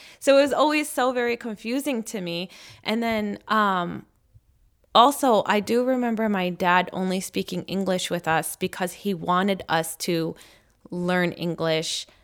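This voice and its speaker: A woman with an American accent speaks in an unremarkable speaking voice at a fairly slow pace, her intonation lively, on a very clean recording with a silent background. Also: medium pitch for a woman. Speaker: parent. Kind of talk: interview.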